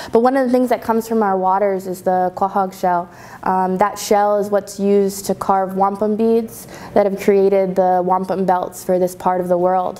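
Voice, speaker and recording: A woman speaks with an American accent at a moderate pace. Her intonation is monotone and flat. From Long Island, New York (Shinnecock Nation); New York. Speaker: researcher; guest lecturer. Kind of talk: lecture. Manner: halting, frequent fillers. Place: classroom.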